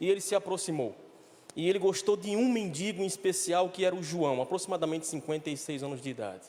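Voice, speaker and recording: High pitch for a man, ordinary pitch variation and a northeastern Brazilian accent. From Brazil, Recife, Pernambuco. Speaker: director of a homeless recovery mission. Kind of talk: church talk.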